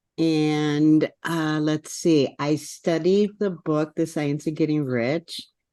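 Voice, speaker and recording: In an Upper Midwest accent, a woman speaks with a very deep, low pitch. Her tone is dark and mellow against a quiet background. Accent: Upper Midwest American. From US Midwest, northwest Wisconsin. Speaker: network marketing affiliate. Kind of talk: casual chat.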